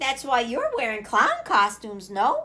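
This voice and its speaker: Using a put-on character voice, a woman speaks at a high pitch. Her pace is moderate and her pitch variation ordinary. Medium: read story. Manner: friendly, polite.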